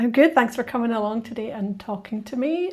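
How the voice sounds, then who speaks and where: A woman speaks with a Scottish accent. Her pitch is fairly high and her intonation lively. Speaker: podcast host. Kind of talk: scripted narration; casual chat.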